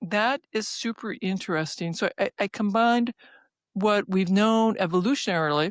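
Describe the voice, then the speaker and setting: Recorded very cleanly against a silent background, a woman speaks with ordinary pitch variation in a dry, close sound with no echo. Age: 60s. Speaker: physician and researcher. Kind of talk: interview. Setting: podcast. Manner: halting.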